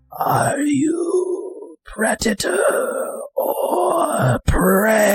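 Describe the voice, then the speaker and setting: A man whispers in a put-on character voice. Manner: menacing.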